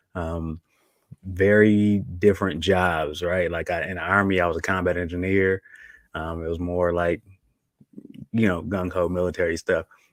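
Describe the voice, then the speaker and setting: The delivery is at a moderate pace, with long, frequent pauses and monotone, flat intonation. It carries a slight country accent. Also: man, very deep, low pitch for a man. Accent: slight country twang. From Buffalo, New York. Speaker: army and air force veteran, co-parenting coach. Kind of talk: podcast interview. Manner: soft-spoken.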